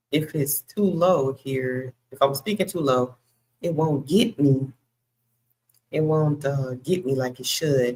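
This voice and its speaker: A woman talks at a very slow pace. Her pitch is very deep and low. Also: ordinary pitch variation. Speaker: bible study host. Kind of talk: live bible study. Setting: livestream. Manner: loud. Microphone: cuts in and out if too quiet; Wi-Fi issues.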